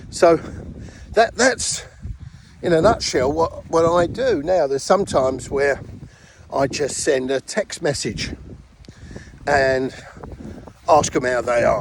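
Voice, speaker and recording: A British-accented man's fairly high voice with lively intonation, a fairly slow pace and long, frequent pauses, over noticeable background noise. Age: 60s. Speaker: network marketing distributor. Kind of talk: casual tutorial.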